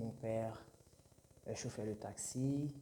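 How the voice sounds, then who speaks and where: A man's somewhat breathy voice with a dark, mellow tone, medium pitch, fairly even intonation, and a very slow pace. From Haiti. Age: 20s. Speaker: aspiring entrepreneur and YouTuber. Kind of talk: channel introduction monologue. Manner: halting, many hesitations and repetitions.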